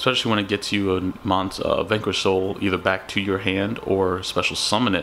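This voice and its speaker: A man with a fairly low-pitched voice speaks over noticeable background noise. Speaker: card game content creator. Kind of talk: deck profile talk to camera. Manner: casual.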